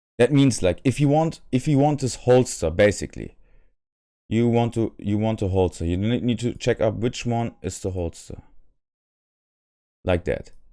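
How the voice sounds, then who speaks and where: A man with a non-native accent and a dark, mellow tone speaks at a moderate pace with ordinary pitch variation. Long, frequent pauses break up his speech against a quiet background. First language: not English. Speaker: modding tutorial creator. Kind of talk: software tutorial. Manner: halting, many fillers and repetitions; unscripted. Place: home room.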